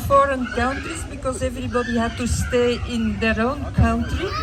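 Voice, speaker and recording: Moderate pace amid audible room echo and crowd noise in the background. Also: woman. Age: 60s. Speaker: charity cyclist. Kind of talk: speech.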